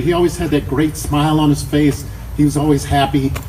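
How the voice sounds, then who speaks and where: A man with an American accent, fairly high in pitch for a man, at a fairly quick pace amid noticeable background noise. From Chicago, South Side. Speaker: memorial speaker, friend and former coworker. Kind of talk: eulogy. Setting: memorial service with audience. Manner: loud.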